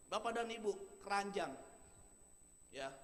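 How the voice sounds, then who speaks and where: A man is speaking. His tone is animated. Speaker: motivational speaker. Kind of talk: motivational seminar talk. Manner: animated, rhetorical.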